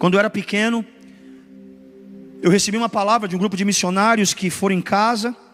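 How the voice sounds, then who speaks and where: Very fast speech from a man with fairly even intonation. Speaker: pastor. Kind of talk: sermon. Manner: emphatic, repetitive preaching.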